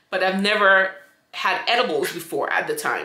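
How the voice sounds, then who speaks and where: Audible room echo surrounds a woman speaking at medium pitch and a fairly slow pace. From St. Vincent. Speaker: YouTuber; vlogger. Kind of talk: storytime monologue. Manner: casual, rambling with many fillers. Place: home room. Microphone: phone near.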